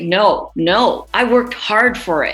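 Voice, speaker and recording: With a New York accent, a woman speaks with lively intonation. There is noticeable background noise. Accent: New York American. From New York City. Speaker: radio presenter. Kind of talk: interview answer.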